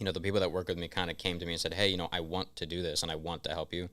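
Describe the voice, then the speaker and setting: A man talks at a very fast pace with a very deep, low pitch and a bright, sharp tone. His intonation is monotone and flat, and the recording is very clean with a silent background. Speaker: podcast guest, small production company owner. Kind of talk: casual podcast conversation. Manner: halting, repeats words.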